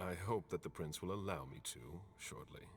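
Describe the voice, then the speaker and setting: A man puts on a character voice with a very deep, low pitch at a moderate pace. Clear background noise sits behind him. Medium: video game. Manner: terse, formal.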